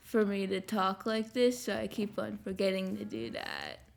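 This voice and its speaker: A woman speaks quietly at a moderate pace. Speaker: Minecraft let's play YouTuber. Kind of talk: gameplay commentary. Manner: normally quiet, hard to understand; trying to speak louder, projecting.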